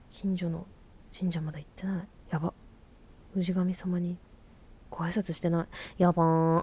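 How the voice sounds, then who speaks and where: A woman speaks in a fairly low pitch with a dark, mellow, somewhat breathy tone. Her intonation is monotone and flat, with long, frequent pauses. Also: moderate pace. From Fukuoka, Japan. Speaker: podcast host, musician. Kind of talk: casual monologue.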